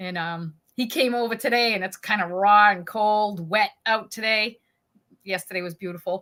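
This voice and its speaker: A woman with a New England accent talks at a moderate pace and medium pitch. Her tone is bright and sharp, with ordinary pitch variation. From New England, New Hampshire. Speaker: koi pond hobbyist host. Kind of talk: casual chat.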